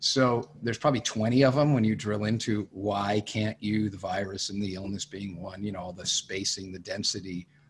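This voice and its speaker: A somewhat breathy, fairly low-pitched male voice in an American accent, at a moderate pace with ordinary pitch variation, over light background noise. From Connecticut, US. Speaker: music industry executive and former talent agent; guest. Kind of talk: interview. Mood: reflective, frank. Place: home room. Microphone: studio mic.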